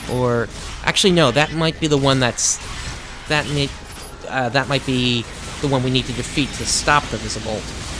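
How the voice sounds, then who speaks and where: With noticeable background noise behind him, a man speaks at a moderate pace and medium pitch, with fairly even intonation and long, frequent pauses. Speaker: gaming YouTuber. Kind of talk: let's play commentary. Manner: halting, many fillers.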